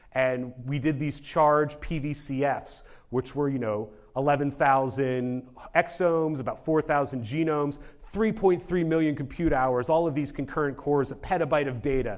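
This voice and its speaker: Ordinary pitch variation with audible room echo. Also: man, fairly high pitch for a man. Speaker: genomics researcher. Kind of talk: conference talk. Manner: fast; casual.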